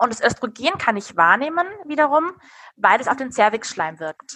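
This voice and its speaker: This woman's voice is high-pitched. Her tone is bright and sharp. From Hesse, Darmstadt (Rhine-Main). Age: 30s. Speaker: natural family planning counselor. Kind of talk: interview.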